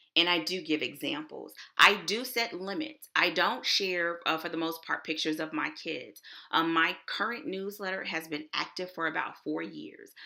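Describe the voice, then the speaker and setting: Speaking with a Texas accent, a woman uses a fairly low pitch, ordinary pitch variation and a bright, sharp, animated tone at a moderate pace. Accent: Texas twang. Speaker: author and web developer. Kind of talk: online conference presentation. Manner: casual.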